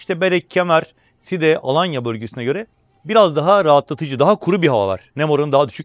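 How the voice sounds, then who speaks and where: Very fast speech with a dry, close sound and no echo. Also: man. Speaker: travel vlogger and travel agent. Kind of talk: hotel tour vlog. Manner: speaking quietly.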